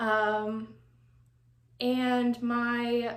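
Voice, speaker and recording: Audible room echo surrounds this woman's voice. She has a fairly high pitch and speaks in an American accent. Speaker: doll collecting YouTuber. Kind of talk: personal testimony. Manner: relaxed, chill.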